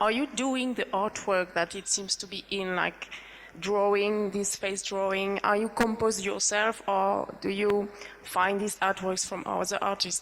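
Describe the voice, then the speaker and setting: A woman with a non-native accent, a medium pitch, monotone, flat intonation and a fairly slow pace. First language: not English. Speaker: audience member. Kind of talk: question from audience.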